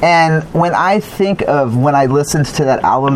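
Ordinary pitch variation from a man at a fairly slow pace, noticeable background noise behind him. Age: 40s. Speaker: podcast host and interviewer. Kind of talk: casual interview chat. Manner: halting, many fillers and repeats.

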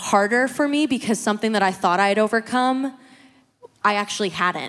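Here a woman of medium pitch and ordinary pitch variation speaks in an unremarkable speaking voice. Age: 20s. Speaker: church member sharing testimony. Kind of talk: testimony.

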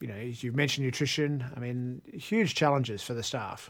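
On a very clean recording with a silent background, a man with an Australian accent speaks at a medium pitch, moderate pace and ordinary pitch variation. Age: old. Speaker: podcast host. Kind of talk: casual chat.

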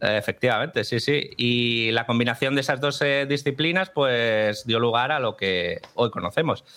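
An ordinary speaking voice: a man at medium pitch, talking at a fairly slow pace with ordinary pitch variation. His loudness stays very even. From Málaga, Spain. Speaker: film collaborator. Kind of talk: casual chat.

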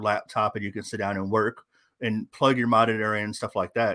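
On a very clean recording with a silent background, someone with an unremarkable speaking voice talks at a fairly quick pace with fairly even intonation. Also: man. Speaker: fantasy football editor and content creator. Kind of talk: casual interview chat.

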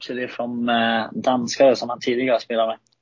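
At a moderate pace, a man speaks at medium pitch. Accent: Danish. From Denmark, Frederikshavn. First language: Danish (speaking Swedish). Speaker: ice hockey player. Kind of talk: casual interview. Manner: halting, many fillers.

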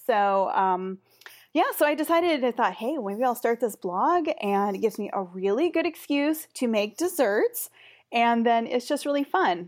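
A woman's high voice with an American accent and very wide pitch swings, on a very clean recording with a silent background. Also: moderate pace. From US Pacific Northwest. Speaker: dessert blogger, international educator. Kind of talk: interview.

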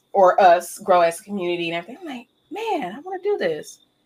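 An animated tone with an American accent carries ordinary pitch variation. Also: woman. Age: 30s. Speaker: gaming content creator. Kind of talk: casual chat.

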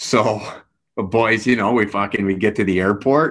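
With a slight Canadian accent, a man speaks at a fairly slow pace in a fairly low voice, on a very clean recording with a silent background. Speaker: hockey coach and former player. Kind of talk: casual podcast interview. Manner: soft-spoken off the ice, fired up behind the bench.

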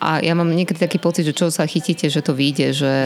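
A woman with a very deep, low pitch speaks at a fairly quick pace with fairly even intonation. Noticeable background noise is present. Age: 40s. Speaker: radio host. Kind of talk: interview.

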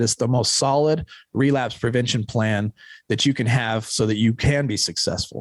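A man with an American accent talks at a moderate pace. He has an ordinary speaking voice with ordinary pitch variation. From Utah (Ogden). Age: 40s. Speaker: recovering addict, founder of a recovery organization. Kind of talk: casual chat. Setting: studio.

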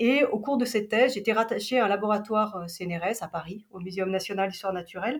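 A woman talks at a fairly quick pace with ordinary pitch variation. Hers is a normal speaking voice, fairly high in pitch. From Switzerland, Geneva. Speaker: travel agency operations director. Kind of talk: interview.

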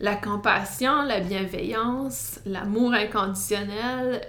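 In an Acadian accent, a woman with a fairly high pitch speaks at a very slow pace amid audible room echo. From New Brunswick, Canada (Acadian francophone village). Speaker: podcast host and wellness counsellor. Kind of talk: solo podcast monologue. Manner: hesitant, many fillers.

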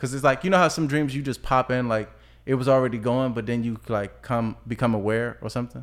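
A man with a normal speaking voice and an American accent talks at a fairly quick pace, with a medium pitch and fairly even intonation. The recording is very clean, with a silent background. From Washington, DC. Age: 20s. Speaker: rapper. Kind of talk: casual chat.

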